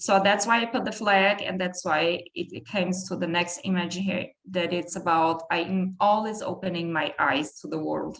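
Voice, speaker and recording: A woman with a German accent speaks with hardly any pauses. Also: medium pitch for a woman, ordinary pitch variation, moderate pace. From southern Brazil, countryside. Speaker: PhD researcher. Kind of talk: academic talk. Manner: halting.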